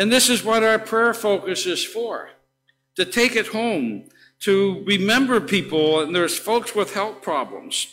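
In a raised, projected voice, the speaker goes at a fairly slow pace with ordinary pitch variation while faint music plays in the background. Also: man. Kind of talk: church announcements. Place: church. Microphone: podium.

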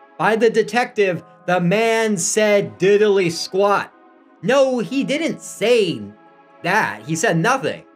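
With faint music in the background, a man speaks very slowly at a high pitch, his pitch varying in an ordinary way. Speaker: podcast host. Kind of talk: comedic spooky storytelling. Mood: playful mock-horror comedy. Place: home room. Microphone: studio mic.

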